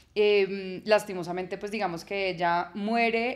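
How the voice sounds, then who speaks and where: A woman with a Bogotá accent, medium in pitch, at a fairly slow pace with fairly even intonation. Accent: Bogotá Colombian Spanish (rolo). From Colombia, Bogotá. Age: 30s. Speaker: journalist and podcaster. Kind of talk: casual interview chat.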